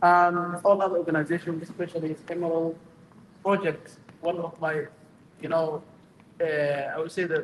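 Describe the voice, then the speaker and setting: A man with a Somali accent speaks at a moderate pace in a high-pitched voice, his intonation flat and monotone. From Somalia. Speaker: imam. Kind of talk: short speech at community iftar. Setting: stage at public event.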